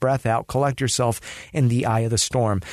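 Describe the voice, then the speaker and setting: At a moderate pace, a man speaks with a Californian accent. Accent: Californian American. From Los Angeles, US. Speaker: dancer and DJ. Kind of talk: casual chat.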